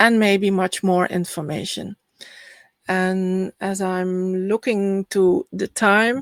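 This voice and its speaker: At a very slow pace, the voice has fairly even intonation and a dry, close sound with no echo. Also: woman, medium pitch for a woman. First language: Dutch. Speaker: spiritual healer and astrology speaker. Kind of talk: online summit presentation.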